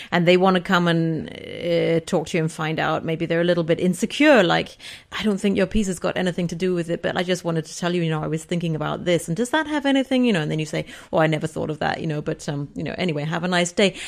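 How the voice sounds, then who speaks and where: Talking at a very fast pace, a woman speaks with a fairly low pitch. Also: ordinary pitch variation. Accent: English. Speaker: composer. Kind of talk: interview. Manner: hesitant, many fillers.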